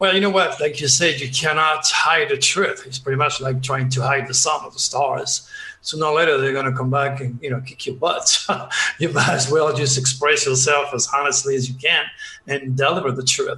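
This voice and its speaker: Speaking with a strong French accent, a man at a fairly high pitch keeps a moderate pace and fairly even intonation amid noticeable background noise. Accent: heavy French. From southern France, Provence. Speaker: astrologer and psychic. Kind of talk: interview. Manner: hesitant, many uhs.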